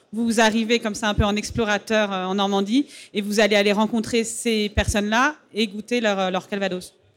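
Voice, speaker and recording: A woman speaks at a medium pitch and moderate pace in a monotone, flat intonation. Music plays in the background. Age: 30s. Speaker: interviewer, festival moderator. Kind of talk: stage interview. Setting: festival stage with audience.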